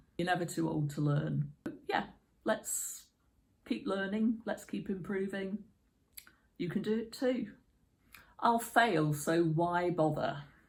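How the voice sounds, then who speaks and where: A woman's somewhat breathy, medium-pitched voice with lively intonation, a very slow pace, and long, frequent pauses. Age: 50s. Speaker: YouTuber. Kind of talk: casual talk to camera.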